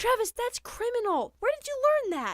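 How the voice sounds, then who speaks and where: A woman uses a squeaky, put-on character voice at an extremely high pitch, with lively intonation at a moderate pace. The sound is dry and close, with no echo. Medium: audio drama.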